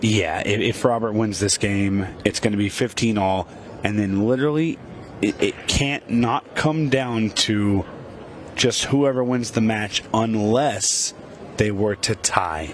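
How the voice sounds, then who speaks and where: A man talks at a fairly slow pace with very even loudness. His pitch varies in an ordinary way over noticeable background noise. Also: fairly low pitch for a man. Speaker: pool commentator. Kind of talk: live commentary. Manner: higher pitch when passionate.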